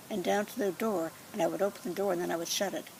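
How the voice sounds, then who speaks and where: A woman with an American accent, medium pitch and ordinary pitch variation, against noticeable background noise. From Washington State, USA. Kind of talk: life story reminiscence.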